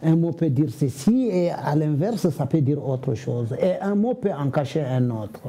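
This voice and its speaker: A man's fairly high-pitched voice with lively intonation at a moderate pace, over noticeable background noise. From Senegal. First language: Fula (speaking French). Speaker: comedian and storyteller. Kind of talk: interview.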